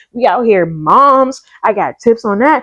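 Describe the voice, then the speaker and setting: A woman speaks loudly and at a high pitch in an animated tone, her pitch swinging very widely at a fairly slow pace. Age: 30s. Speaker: nurse practitioner and lifestyle vlogger. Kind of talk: casual talk to camera.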